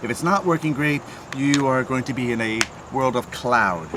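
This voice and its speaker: Over noticeable background noise, a man talks at medium pitch. His pace is fairly quick. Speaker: renovation contractor reviewing tools. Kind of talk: product review tutorial. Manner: fast; casual, with fillers.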